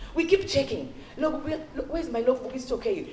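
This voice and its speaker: Over noticeable background noise, a woman talks at a fairly quick pace with a Kenyan accent. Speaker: education consultant, former teacher. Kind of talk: parent workshop talk. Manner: fast; animated.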